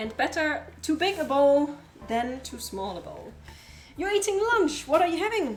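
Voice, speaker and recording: A woman with a German accent speaks at a moderate pace, her pitch swinging very widely. The room echo is audible. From Germany. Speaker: streamer. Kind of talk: casual live-stream cooking chat. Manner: casual, chatty.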